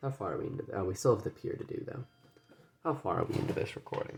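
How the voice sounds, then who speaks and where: A soft-spoken man at a very fast pace, with noticeable background noise. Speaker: gaming video creator. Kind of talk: casual gameplay commentary. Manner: halting. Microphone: audio quiet.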